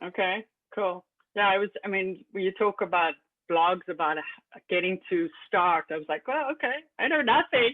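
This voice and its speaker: Speaking in a South African accent, a woman uses lively intonation at a moderate pace and a medium pitch. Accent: South African, still noticeable. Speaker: Linux system administrator. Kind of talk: casual chat.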